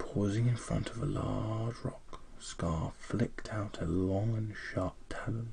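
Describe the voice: The speaker is doing plain reading aloud.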